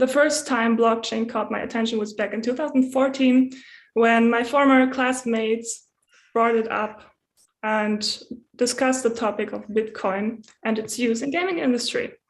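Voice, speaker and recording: A woman speaks at a moderate pace with a fairly high pitch, fairly even intonation and a German accent against a quiet background. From Germany. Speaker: community translator. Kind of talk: prepared talk.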